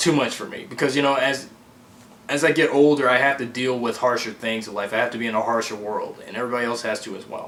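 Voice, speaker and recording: Through audible room echo and noticeable background noise, a man talks at a medium pitch with fairly even intonation. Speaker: amateur fan filmmaker. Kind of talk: casual vlog update. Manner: halting.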